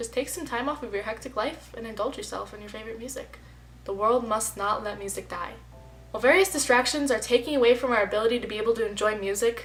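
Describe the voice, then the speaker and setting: Over music in the background, a woman talks at a very fast pace in a fairly high voice. Her loudness swings widely while her pitch variation stays ordinary. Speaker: student. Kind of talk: reading aloud.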